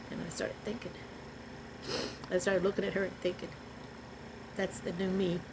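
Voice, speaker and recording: A woman speaks in an animated tone at a fairly quick pace, with long, frequent pauses. Noticeable background noise is present. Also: medium pitch for a woman. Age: 70s. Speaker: vlogger. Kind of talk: personal testimony. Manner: emotional, animated.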